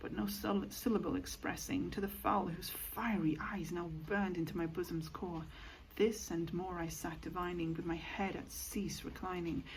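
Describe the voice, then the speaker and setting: A soft-spoken woman talks at a fairly slow pace. Noticeable background noise sits behind her voice. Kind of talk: poetry reading. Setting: home recording with rain sounds.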